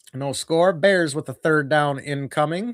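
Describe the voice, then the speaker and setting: A man with a fairly high pitch and an American accent is heard in a very clean recording with a silent background and a dry, close sound with no echo. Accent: Wisconsin accent (remarked by viewer). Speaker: sports streamer doing fan commentary. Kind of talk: live play-by-play commentary; casual chat with viewers. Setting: live stream.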